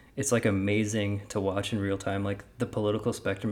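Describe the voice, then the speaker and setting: A soft-spoken man talks with a fairly low pitch. His intonation stays monotone and flat. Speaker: podcast co-host. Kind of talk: casual chat.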